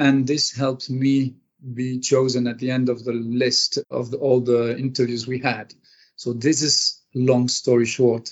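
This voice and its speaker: A man talks at a fairly slow pace in a medium pitch, his intonation monotone and flat. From Franco-Argentinian. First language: French, English and Spanish. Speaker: hotel general manager. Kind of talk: interview.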